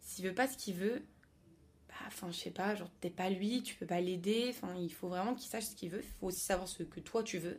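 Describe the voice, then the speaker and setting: The woman has an ordinary speaking voice with a medium pitch. She talks at a fairly quick pace with ordinary pitch variation. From France, Paris. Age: young. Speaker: student. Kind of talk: casual chat.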